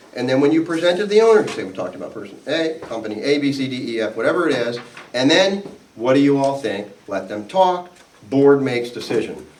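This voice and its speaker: A man with a fairly high pitch talks at a fairly quick pace, his pitch swinging very widely. Noticeable background noise and audible room echo surround him. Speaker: attorney presenting to HOA board members. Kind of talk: seminar presentation with audience Q&A. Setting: live seminar audience, also recorded on video. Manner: conversational, self-correcting.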